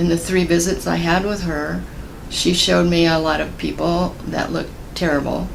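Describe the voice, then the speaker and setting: Talking at a rather slow pace, a woman is heard through noticeable background noise and audible echo from the room. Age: 70s. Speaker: cancer survivor. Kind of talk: testimony. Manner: halting.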